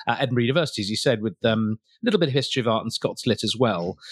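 A man is talking at a very fast pace. His voice sits at a medium pitch. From County Durham, England. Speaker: wine expert and TV presenter. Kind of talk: casual interview chat. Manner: warm, upbeat, animated.

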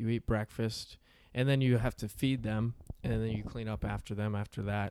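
In a normal speaking voice with an American accent, a man of medium pitch speaks at a fairly quick pace with fairly even intonation, on a very clean recording with a silent background. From rural Pennsylvania. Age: 20s. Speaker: comedian, former dairy farmer. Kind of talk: casual chat.

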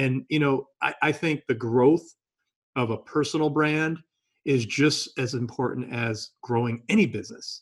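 A man speaks at a fairly slow pace in an unremarkable speaking voice. His pitch is medium, with ordinary variation. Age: 50s. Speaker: podcast host. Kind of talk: interview. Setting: video call.

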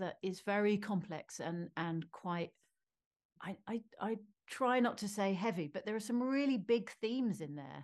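With a British accent, a woman speaks at medium pitch and a moderate pace, with ordinary pitch variation. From Britain. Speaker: film director. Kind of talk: interview.

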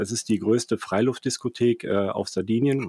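Recorded very cleanly with a silent background and a dry, close sound with no echo, a man speaks at medium pitch and moderate pace with ordinary pitch variation. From Germany, Cologne (Rhineland). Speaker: finance entrepreneur, startup managing director. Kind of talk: interview. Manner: halting, many fillers and repetitions.

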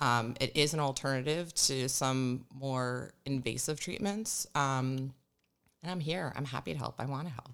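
A woman with an American accent, very deep and low in pitch, at a moderate pace with ordinary pitch variation. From New Jersey. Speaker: craniosacral therapist. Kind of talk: interview.

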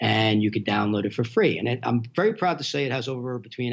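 This man speaks very fast with noticeable vocal fry. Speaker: film platform founder. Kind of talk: casual interview.

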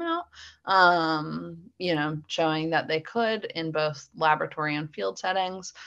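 With an American accent and lively intonation, this is an ordinary speaking voice at a moderate pace. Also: woman. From US Northeast, Philadelphia suburbs. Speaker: dog handler and trainer. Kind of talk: interview.

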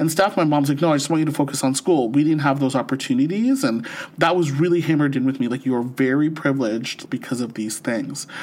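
Very fast speech in a Canadian accent, with hardly any pauses and noticeable background noise. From St. Catharines, Ontario. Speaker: podcast co-host. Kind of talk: casual chat. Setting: remote podcast recording. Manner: laughs often.

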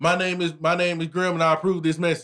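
A man speaks at a very fast pace in a bright, sharp tone. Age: 30s. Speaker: podcast host. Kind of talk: casual chat.

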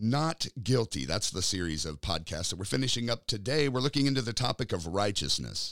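Speaking at a fairly quick pace, a man with an American accent has a medium pitch and vocal fry. His pitch swings very widely. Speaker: podcast host and preacher. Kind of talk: podcast Bible teaching.

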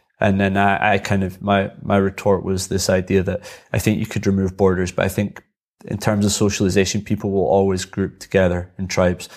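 In an Edinburgh accent, a man speaks at a fairly low pitch and a fairly quick pace with monotone, flat intonation. The recording is very clean, with a silent background. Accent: Edinburgh Scottish. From Scotland, Edinburgh. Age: 30s. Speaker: extreme unicyclist. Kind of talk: casual chat.

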